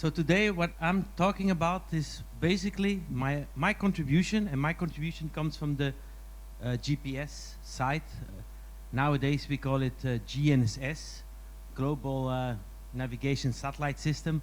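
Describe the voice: A man speaks at a moderate pace with few pauses, his fairly high pitch moving with ordinary variation.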